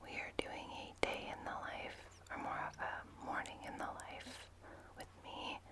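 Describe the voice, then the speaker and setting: Noticeable background noise surrounds a whispering woman. She goes at a fairly slow pace, with big swings in loudness. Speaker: stay-at-home mom, ASMR content creator. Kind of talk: whispered ASMR vlog, casual talk to camera. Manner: whispered, soft-spoken.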